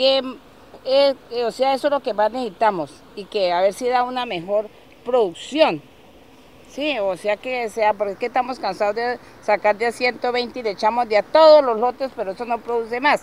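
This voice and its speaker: A woman with an ordinary speaking voice, fairly high in pitch, talks at a moderate pace with ordinary pitch variation, the sound dry with no echo and light background noise. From Colombia. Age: 60s. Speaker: farmer. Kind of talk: field interview; interview answer. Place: farm. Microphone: handheld.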